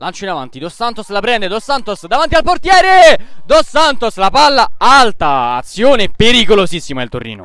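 Bright and sharp, a man's high voice makes very wide pitch swings and big swings in loudness. He hardly pauses at all. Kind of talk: live sports commentary. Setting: amateur football match, commentary over the play. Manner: fast, breathless play-by-play delivery, rattling off names and passes; excited, rising emphasis on goals and near-misses.

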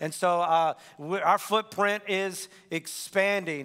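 In quiet surroundings, the speaker is a man. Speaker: pastor. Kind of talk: sermon announcements. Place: church. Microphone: headset.

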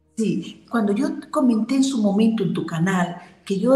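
A woman talks with ordinary pitch variation, and room echo can be heard around her voice. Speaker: remote guest. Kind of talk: interview answer. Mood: earnest, recounting hard experience. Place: home room. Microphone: video call.

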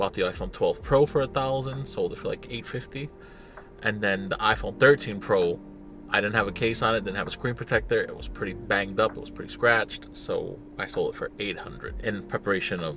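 Clear music plays in the background of this dry recording with no echo, and the speech moves at a moderate pace. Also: man. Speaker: tech vlogger. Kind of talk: casual vlog chat. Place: car.

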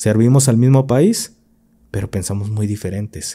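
Against a quiet background, a man with a Mexican accent speaks in a dark, mellow tone with fairly even intonation. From Mexico. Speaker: podcast host, former military; podcast host. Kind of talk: casual chat. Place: studio. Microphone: studio mic.

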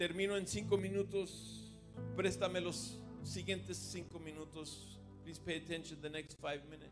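A man speaks at a moderate pace while clear music sounds in the background. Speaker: preacher. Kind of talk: bilingual sermon. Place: church. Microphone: handheld.

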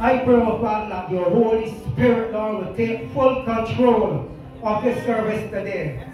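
Clear music plays behind a man with a high voice and ordinary pitch variation. Strong room echo surrounds the recording. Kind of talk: opening prayer.

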